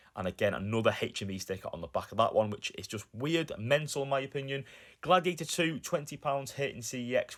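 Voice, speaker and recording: A man with a Lancashire accent speaks with lively intonation on a very clean recording with a silent background. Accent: northern English (Lancashire). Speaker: YouTuber, film collector. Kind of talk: vlog narration.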